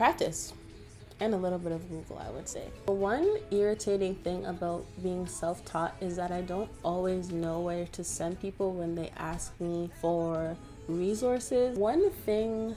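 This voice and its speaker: A woman's medium-pitched voice, fairly even in intonation and fairly slow in pace, with music in the background. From Toronto, Canada. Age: 20s. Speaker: graphic designer. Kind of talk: Q&A answers to camera.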